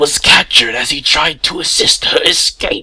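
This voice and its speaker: A man speaks at a moderate pace in a put-on character voice. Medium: read story. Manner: contemptuous.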